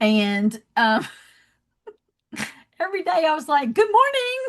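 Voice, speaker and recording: A woman with a Southern accent speaks at a very slow pace. Her pitch is extremely high, with very wide swings. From US South, Georgia. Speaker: love and leadership coach, founder. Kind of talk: podcast interview.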